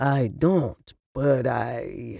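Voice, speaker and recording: Putting on a character voice, a man speaks at medium pitch with a raspy sound. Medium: read story. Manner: easygoing.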